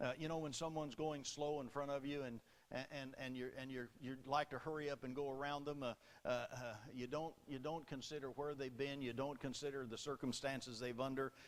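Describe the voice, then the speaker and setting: A man with an American accent and a fairly high pitch speaks at a fairly quick pace in a flat, monotone way. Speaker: Baptist preacher. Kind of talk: sermon delivered to a congregation.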